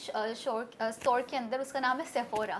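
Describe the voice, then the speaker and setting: A woman with an Urdu accent speaks at a high pitch. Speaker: interview guest, social media personality. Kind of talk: interview. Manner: animated.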